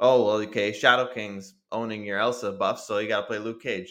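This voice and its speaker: A man with a plain, everyday voice speaks at a fairly quick pace, his fairly low pitch held in fairly even intonation. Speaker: podcast host. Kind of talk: casual chat.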